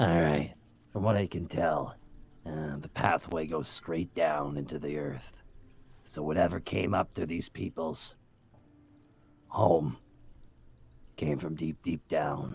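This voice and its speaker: Putting on a character voice, a man speaks raspy and very deep and low, at a fairly slow pace with long, frequent pauses. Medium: actual play. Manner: dry, sardonic.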